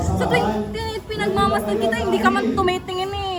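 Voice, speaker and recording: With music in the background and audible room echo, a woman talks at a fairly quick pace. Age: 30s. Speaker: vlogger interviewer. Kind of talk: casual interview chat.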